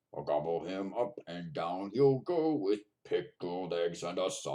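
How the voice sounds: The background has little noise. A natural reading voice does the reading.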